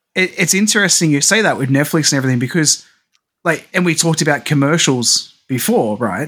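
With an Australian accent, a man talks at a fairly quick pace with a fairly high pitch, lively intonation and very even loudness. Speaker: podcast co-host. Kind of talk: casual chat.

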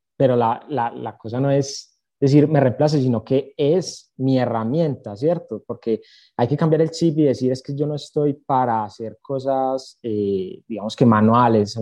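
Fairly slow in pace, a man speaks in an ordinary speaking voice with medium pitch and ordinary pitch variation. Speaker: accounting student, social media creator. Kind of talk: casual interview chat.

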